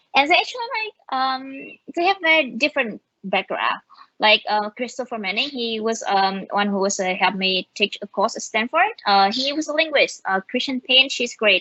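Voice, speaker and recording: Speaking at a moderate pace with a Vietnamese accent, a woman uses a high pitch with very wide pitch swings. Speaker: machine learning engineer. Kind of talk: conference talk. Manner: halting, many fillers.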